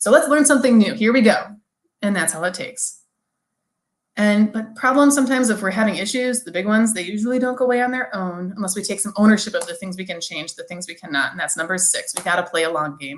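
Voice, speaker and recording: Talking at a very fast pace, a woman with a medium pitch and a somewhat breathy voice uses lively intonation and big swings in loudness, with audible room echo. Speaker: language teacher, keynote speaker. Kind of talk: conference keynote talk. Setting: virtual conference, video. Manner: fast, especially when excited; animated.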